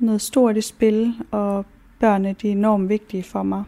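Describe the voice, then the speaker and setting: Very slow and monotone, a woman's medium-pitched voice has a dark, mellow tone, captured in a very clean recording with a silent background. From central Jutland, Denmark. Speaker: model and cosmetologist. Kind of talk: documentary interview.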